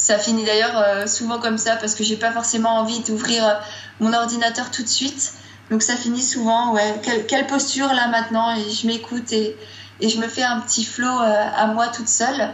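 Amid noticeable background noise and audible room echo, a woman with a fairly high pitch speaks at a moderate pace in a flat monotone. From Strasbourg, Alsace, France. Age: young. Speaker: blogger. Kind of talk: casual interview.

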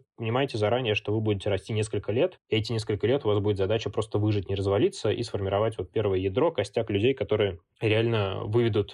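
A man with an unremarkable speaking voice talks at a fairly quick pace, his fairly low pitch carried in fairly even intonation. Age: 20s. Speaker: student community founder and author. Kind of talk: interview.

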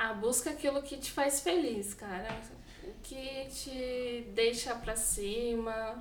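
A woman speaks very slowly in a fairly high voice with ordinary pitch variation. Audible room echo and noticeable background noise fill the recording. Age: 20s. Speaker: nursing home caregiver. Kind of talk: casual interview.

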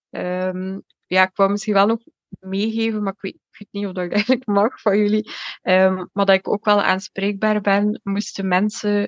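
Heard in a dry, close sound with no echo, a woman speaks at medium pitch and a fairly slow pace in a monotone, flat intonation. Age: 20s. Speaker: mental health testimony guest. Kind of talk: personal testimony. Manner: hesitant, many fillers.

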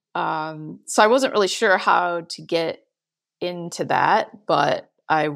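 A woman talks fairly slowly, captured in a very clean recording with a silent background. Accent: American. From Michigan, US Midwest. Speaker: winemaker. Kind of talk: interview.

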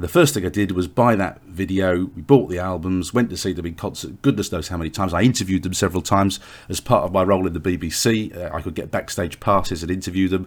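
Speaking with an English accent, a man with a very deep, low pitch and ordinary pitch variation goes at a very fast pace with hardly any pauses. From England. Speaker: author and podcast host. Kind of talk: solo podcast diary. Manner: hesitant, with filler words.

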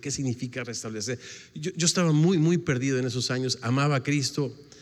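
A normal speaking voice from a man at a fairly quick pace, ordinary pitch variation, very clean recording with a silent background. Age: 60s. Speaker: pastor. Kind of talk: sermon.

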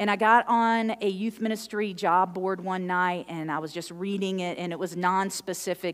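Here is a plain, everyday voice with ordinary pitch variation. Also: woman. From moved around US as military contractor's child. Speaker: pastor. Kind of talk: sermon. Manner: conversational, uses fillers.

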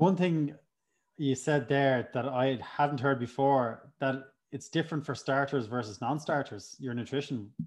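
A man talks in an ordinary speaking voice, fairly high in pitch with ordinary pitch variation. His pace is fairly slow, and the background is quiet. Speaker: podcast host. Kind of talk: casual interview.

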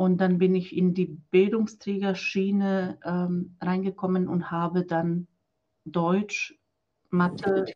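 In a Croatian accent, a woman talks at a very slow pace with a medium pitch, fairly even intonation, a dark, mellow tone and a somewhat breathy quality. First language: Croatian (speaking German). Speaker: business coach for women, former nun. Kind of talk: interview.

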